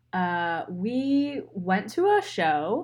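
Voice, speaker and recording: Very slowly, a woman speaks with an American accent. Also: very clean recording, silent background. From Pennsylvania, near Philadelphia. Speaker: podcast co-host and designer. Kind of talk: casual chat.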